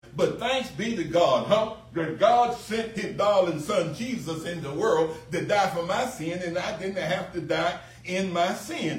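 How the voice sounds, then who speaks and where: Noticeable background noise sits behind a man with an American accent. He speaks fairly slowly in a high voice with ordinary pitch variation. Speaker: pastor. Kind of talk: sermon. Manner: earnest pulpit delivery, repeating phrases for emphasis.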